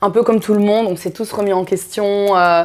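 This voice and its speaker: A woman talks with fairly even intonation. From Belgium (Brussels), Congolese heritage. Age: 30s. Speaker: activist. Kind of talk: interview. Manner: hesitant, many fillers.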